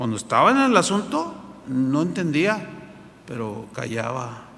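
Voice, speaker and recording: Noticeable background noise and audible room echo are present. The voice is a man's. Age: 60s. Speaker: pastor. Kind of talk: sermon. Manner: halting, with repetitions.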